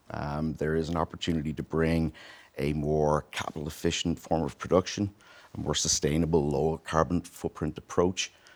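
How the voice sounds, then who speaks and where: A very deep, low male voice at a moderate pace, monotone and flat, in a very clean recording with a silent background. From Ireland, Dublin. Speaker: tech company CEO. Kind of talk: interview. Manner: many fillers (uh, um).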